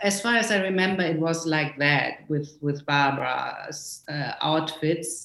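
A woman with a German accent and a very deep, low pitch, at a fairly slow pace with hardly any pauses, ordinary pitch variation, and noticeable background noise. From small town in West Germany. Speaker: costume designer. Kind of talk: interview. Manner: halting, many fillers.

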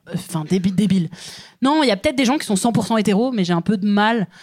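Medium pitch from a woman, moderate in speed and normally varied in tone. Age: 30s. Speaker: comedian. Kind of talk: casual chat. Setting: stage with audience.

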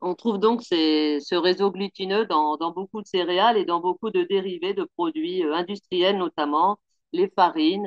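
This woman speaks very slowly at a medium pitch. Her intonation is lively. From Picardie, northern France. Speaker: pastry chef. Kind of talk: interview.

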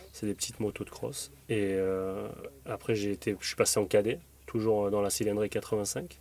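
A man's fairly low voice in a dark, mellow tone, with fairly even intonation and a fairly slow pace. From southern France, Draguignan, Var. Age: 30s. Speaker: retired motocross racer. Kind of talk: casual interview. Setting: in the back of a van. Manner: halting, many repetitions.

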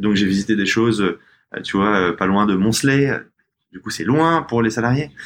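A fairly quick man's voice at medium pitch, with ordinary pitch variation. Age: 30s. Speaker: fashion brand co-founder. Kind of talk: casual interview. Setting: studio, in person with masks. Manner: halting, many repetitions.

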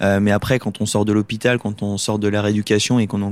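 A man speaks fairly quickly in a flat monotone at a fairly low pitch, recorded very cleanly and dry and close with no echo against a silent background. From Lorraine, France. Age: 20s. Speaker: paralympic swimmer. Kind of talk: casual interview. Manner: hesitant, many fillers.

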